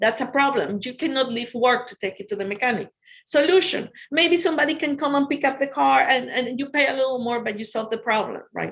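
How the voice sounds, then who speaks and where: A woman talks at a fairly quick pace with an Ecuadorian accent. Her pitch is high, with ordinary variation. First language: Spanish. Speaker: finance professional and entrepreneur speaker. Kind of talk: motivational talk to students.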